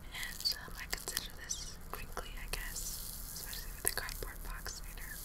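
Whispering and soft-spoken, a woman talks at a moderate pace. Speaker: ASMR vlogger. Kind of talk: casual vlog chat. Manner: soft whispered ASMR talk. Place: home room. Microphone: webcam.

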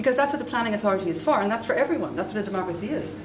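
Clear background noise runs under this recording. A woman speaks with ordinary pitch variation.

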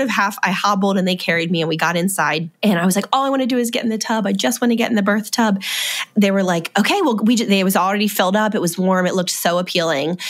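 A woman at medium pitch and a very fast pace, her loudness very even, over noticeable background noise. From US, Maryland. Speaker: mother sharing birth story. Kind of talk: testimony.

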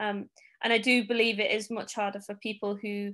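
A woman with a Manchester accent and medium pitch speaks at a moderate pace with fairly even intonation against a quiet background. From Manchester, England. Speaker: Paralympic cyclist. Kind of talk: interview answer.

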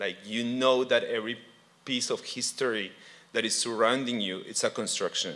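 A man with a Spanish accent speaks in a bright, sharp tone with fairly even intonation. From Colombia. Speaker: artist and art lecturer; art lecturer. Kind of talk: panel presentation. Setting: stage with audience. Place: hall. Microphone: handheld.

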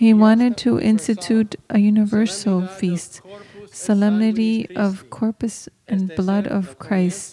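Light background noise sits behind a woman whose voice is somewhat breathy. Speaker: homily preacher. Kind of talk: homily at Mass. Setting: church during Mass. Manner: devout, earnest teaching tone; code-switching between English, Spanish and Latin. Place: church. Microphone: podium.

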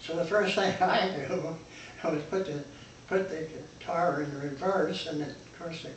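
The speaker goes at a fairly slow pace with fairly even intonation. Audible room echo and light background noise are present. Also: man. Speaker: eyewitness to a historic disaster. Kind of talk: interview answer. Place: home room. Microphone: camera far.

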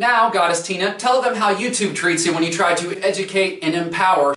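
Audible room echo follows a man as he talks at a fairly quick pace. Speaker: comedy show host. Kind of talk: comedy show hosting. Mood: playful, sarcastic. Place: home room.

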